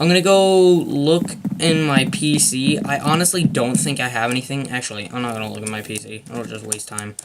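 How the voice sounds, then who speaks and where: With noticeable background noise behind him, a man talks at a moderate pace with lively intonation. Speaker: gaming video creator. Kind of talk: gameplay commentary. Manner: hesitant, filler-heavy.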